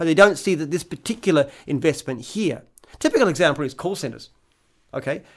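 At a fairly quick pace, a man with an Australian accent speaks at a fairly high pitch with ordinary pitch variation. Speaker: franchise company founder and CEO. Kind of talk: casual chat.

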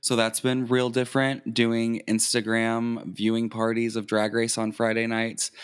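Speaking at a fairly slow pace with hardly any pauses, a man with an American accent keeps his medium-pitched voice monotone and flat. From southern Indiana near Louisville, Kentucky. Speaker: drag queen. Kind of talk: casual interview.

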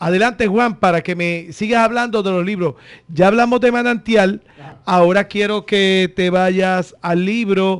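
Fairly even intonation from a man with a high pitch, speaking at a fairly slow pace against a quiet background. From Puerto Rico, Corozal. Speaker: radio host. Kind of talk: radio interview. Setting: radio studio.

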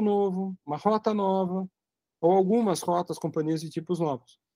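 Recorded with a dry, close sound and no echo, a man speaks with a high pitch, a dark, mellow tone and fairly even intonation. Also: quiet background. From Brazil, São Paulo. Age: 50s. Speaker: aviation journalist and magazine publisher. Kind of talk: casual interview, storytelling.

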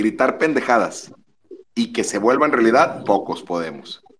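At a medium pitch, a man delivers his words at a fairly slow pace. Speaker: caller.

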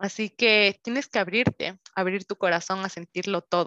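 A bright, sharp tone sits in a dry, close sound with no echo and a quiet background. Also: woman. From Ecuador, Quito. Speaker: podcast host and health coach. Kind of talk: unscripted solo monologue. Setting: home recording over Zoom.

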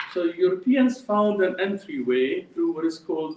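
This man has a high pitch that moves in very wide swings. He talks at a fairly slow pace with an Arabic accent. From Jordan. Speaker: professor. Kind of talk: lecture. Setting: stage with audience.

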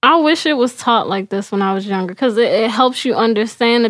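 A woman speaks at a fairly quick pace in a fairly high voice. It is an ordinary speaking voice. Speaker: podcast co-host. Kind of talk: casual conversation about faith. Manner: relaxed, laughs often.

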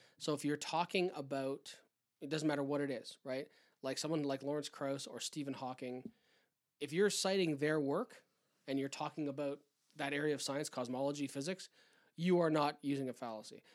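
At a fairly quick pace, a man with a Canadian accent speaks in an unremarkable speaking voice at a fairly high pitch, his intonation fairly even. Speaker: podcast co-host. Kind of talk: casual chat.

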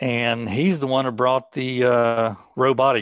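An ordinary speaking voice from a medium-pitched man with an American accent, dry and close with no echo. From West Virginia. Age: 60s. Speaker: cancer patient and fitness instructor. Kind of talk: interview testimony.

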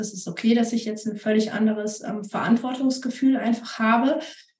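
Fairly high and somewhat breathy, a woman's voice moves at a moderate speed with fairly flat intonation. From Siegen-Wittgenstein, Germany. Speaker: amateur road cyclist and mother. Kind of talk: casual chat.

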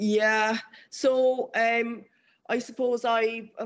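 A woman with an Irish accent speaks at a fairly high pitch in a monotone, flat intonation against a quiet background. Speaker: amateur runner and former tennis player. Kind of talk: interview.

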